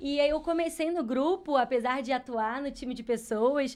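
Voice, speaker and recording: The speaker has a Rio de Janeiro accent and talks at a moderate pace with ordinary pitch variation. The recording is very clean, with a silent background. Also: woman. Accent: carioca. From Rio de Janeiro, Brazil. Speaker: HR specialist. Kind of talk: podcast interview.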